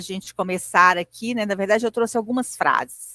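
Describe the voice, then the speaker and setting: In a strong Minas Gerais accent, a woman talks at a fairly high pitch with ordinary pitch variation. The sound is dry and close, with no echo. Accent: strong singsong mineiro. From Minas Gerais, Brazil (Belo Horizonte). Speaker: lecturer. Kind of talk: lecture. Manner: conversational, hesitant fillers.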